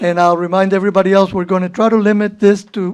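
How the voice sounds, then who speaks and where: In a Cuban accent, a woman speaks at a medium pitch with fairly even intonation. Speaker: board chair. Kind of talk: public meeting chairing. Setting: public meeting room with audience.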